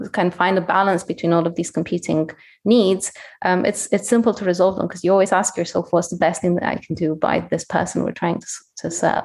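A woman at medium pitch, fairly quick in pace, with fairly even intonation. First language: not English. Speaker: head of product at a mental health tech startup, qualified counselor. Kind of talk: interview. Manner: hesitant, many fillers.

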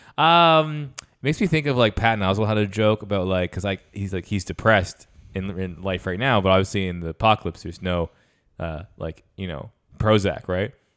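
A man with a normal speaking voice talks at a fairly quick pace in a fairly low pitch with lively intonation. The recording is very clean, with a silent background. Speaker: podcast co-host. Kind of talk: casual banter.

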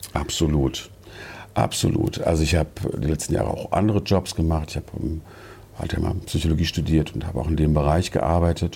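His voice sits very deep and low. The man keeps a moderate tempo. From Germany, Wiesbaden (Hesse). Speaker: yarn shop owner. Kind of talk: interview. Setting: in a shop.

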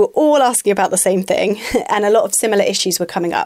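In an ordinary speaking voice, a woman talks at a medium pitch with ordinary pitch variation. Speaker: podcast presenter. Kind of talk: podcast intro and outro, scripted-sounding.

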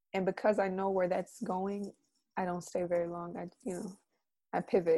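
Here a woman with an American accent speaks at a moderate pace in a medium pitch with a dark, mellow tone. The recording is very clean, with a silent background. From US South, Atlanta, Georgia. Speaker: poet and arts educator. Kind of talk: casual interview chat. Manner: calm, soothing.

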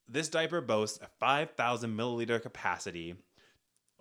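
A man speaks at a fairly slow pace, his pitch swinging very widely. His tone is bright and sharp with vocal fry, on a very clean recording with a silent background. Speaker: podcast host. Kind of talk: comedic banter, skit-based casual chat.

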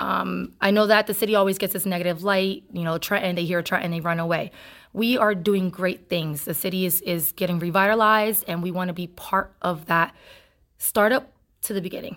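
On a very clean recording with a silent background, a woman with an American accent uses an ordinary speaking voice at medium pitch, talking at a fairly quick pace with fairly even intonation. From Trenton, New Jersey. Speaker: community organization president. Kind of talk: interview. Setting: outdoor block party event.

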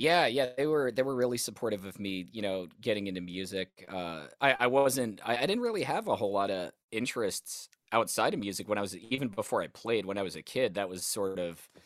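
With an American accent, a man talks at a fairly quick pace with hardly any pauses, using a normal speaking voice of fairly low pitch and ordinary pitch variation, on a very clean recording with a silent background. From US South (Alabama). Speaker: guitarist. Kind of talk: casual interview.

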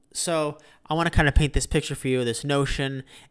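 Over a very clean recording with a silent background, a man with a normal speaking voice talks fairly quickly at a medium pitch. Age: 20s. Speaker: solo podcast host. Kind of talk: casual solo monologue. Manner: casual, many fillers and repetitions.

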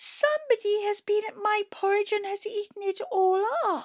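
This woman uses a put-on character voice, pitched extremely high and delivered at a moderate pace.

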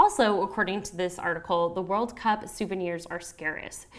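A woman speaks in an ordinary speaking voice with an American accent. Her pitch is medium and her pace moderate. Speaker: podcast host. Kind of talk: casual solo monologue. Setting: home recording, apartment near pool. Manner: casual, filler-heavy.

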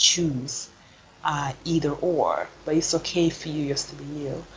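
A woman speaks with a very deep, low pitch. Noticeable background noise sits behind her. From Sweden, Stockholm, Gambian parents. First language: Swedish. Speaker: PhD researcher. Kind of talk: interview.

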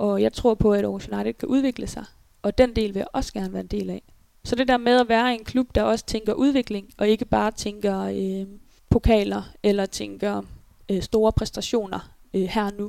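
The recording is dry and close, with no echo. A woman talks at a moderate pace. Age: 20s. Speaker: handball player. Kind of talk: interview. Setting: at home in apartment.

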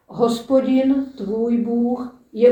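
A woman's high-pitched voice with a dark, mellow tone. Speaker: lay lector. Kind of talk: reading aloud.

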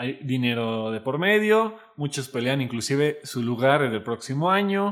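Hardly pausing, a man speaks at a fairly slow pace and a medium pitch, with very wide pitch swings. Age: 20s. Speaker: podcast co-host. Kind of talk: casual chat.

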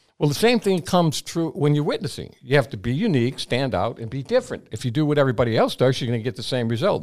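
Recorded very cleanly against a silent background, a man speaks at a medium pitch with lively intonation. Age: 80s+. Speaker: salesman and speaker. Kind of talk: interview with personal stories. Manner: energetic.

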